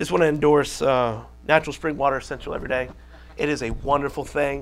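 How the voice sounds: A man talks at a fast pace with medium pitch. His intonation stays fairly even.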